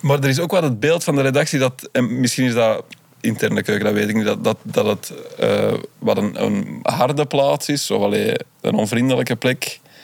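This man talks at a moderate pace with a medium pitch and lively intonation. His loudness stays very even against noticeable background noise. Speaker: comedy TV writer. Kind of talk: casual chat.

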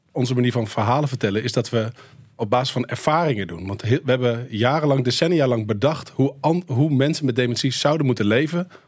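This man has a normal speaking voice at a medium pitch. He moves at a fairly quick pace. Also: ordinary pitch variation. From Netherlands. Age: 40s. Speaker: filmmaker. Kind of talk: radio interview.

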